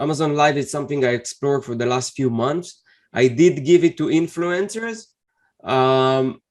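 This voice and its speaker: A moderate pace and ordinary pitch variation in a non-native accent. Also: man, fairly high pitch for a man. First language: not English. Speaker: Amazon seller and interview host. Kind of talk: interview. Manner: halting.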